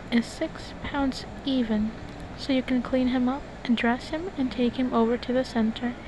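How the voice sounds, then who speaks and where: The speaker is soft-spoken and talks at a fairly slow pace. Noticeable background noise can be heard. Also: woman. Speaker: college student. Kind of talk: book reading. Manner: relaxing, soft.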